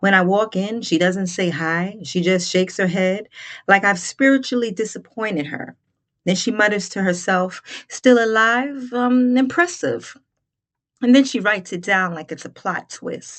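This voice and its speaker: A woman uses a normal speaking voice at a medium pitch and moderate pace. The background is quiet. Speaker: comedian. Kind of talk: comedic monologue.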